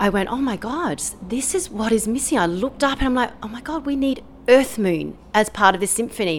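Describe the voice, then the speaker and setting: With an Australian accent, a woman speaks in a fairly high pitch with lively intonation. Noticeable background noise sits behind her. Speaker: composer and pianist. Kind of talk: interview.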